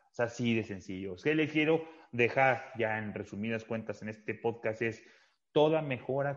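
A man talks at a moderate pace with a Mexican accent. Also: quiet background. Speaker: fitness podcast host. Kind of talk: casual chat.

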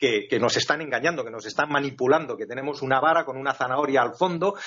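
Fairly high in pitch, a man speaks with ordinary pitch variation. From Finland and Spain. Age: 50s. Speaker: flight attendant, new co-host. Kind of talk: casual interview. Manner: fast, rushed.

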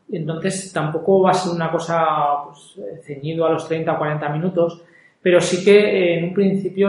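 Recorded with audible room echo, a man speaks at a moderate pace in a high pitch, his intonation monotone and flat while his loudness swings widely. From Spain, Zaragoza (Aragon). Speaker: podcast host, entrepreneur. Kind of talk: solo monologue podcast intro. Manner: hesitant with many fillers.

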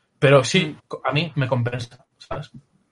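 Somewhat breathy, a man speaks in a fairly high pitch with ordinary pitch variation. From Galicia, Spain (Pontevedra). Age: 30s. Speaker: illustrator. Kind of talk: interview.

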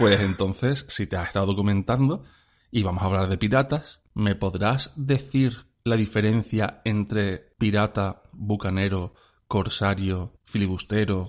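A man has a normal speaking voice with a fairly low pitch and ordinary pitch variation. He talks at a fairly slow pace over a quiet background. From Spain, Cádiz. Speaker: podcast co-host. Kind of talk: casual chat.

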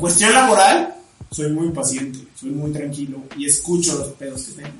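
Over noticeable background noise and audible room echo, a man talks with a Mexican accent. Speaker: podcast co-host. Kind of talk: casual chat.

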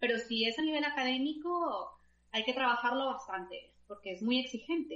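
Here is a woman with a high pitch and a bright, sharp tone. She speaks at a moderate pace with ordinary pitch variation. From Colombia. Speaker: scholarship consultant. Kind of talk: interview.

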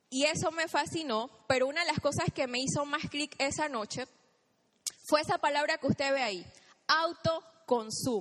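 A woman's high, animated voice at a moderate pace, with ordinary pitch variation. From Chiriquí, Panama. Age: 30s. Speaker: motivational speaker at network marketing event. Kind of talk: motivational stage talk. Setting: stage with audience.

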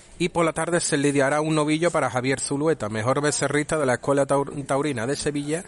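An unremarkable speaking voice from a man, fairly high in pitch, at a fairly quick pace with hardly any pauses, fairly even intonation and very even loudness. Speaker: bullfighting radio commentator. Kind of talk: radio news reading. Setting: radio studio.

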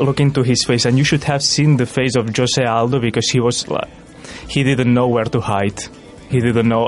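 Over music in the background, a man with a non-native accent talks at a moderate pace in a medium pitch. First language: not English. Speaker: student radio presenter. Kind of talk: casual chat.

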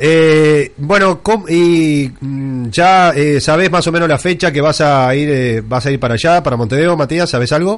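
A man with a Uruguayan accent and a fairly high pitch at a fairly slow pace, amid noticeable background noise. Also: ordinary pitch variation, very even loudness. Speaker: radio host. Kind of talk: radio interview.

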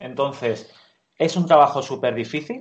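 The speaker is a man with an ordinary speaking voice. His pitch varies in an ordinary way. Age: 30s. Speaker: architect, studio co-founder. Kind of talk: interview.

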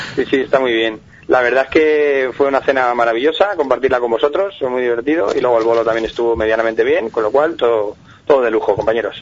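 A man races along at a very fast pace with ordinary pitch variation as noticeable background noise carries on behind him. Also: medium pitch for a man. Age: 40s. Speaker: comedian. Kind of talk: interview.

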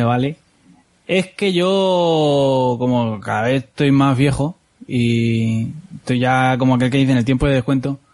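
A man speaks in a plain, everyday voice at a fairly high pitch. His pace is fairly slow, with ordinary pitch variation. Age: 30s. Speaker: podcast host. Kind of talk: casual chat.

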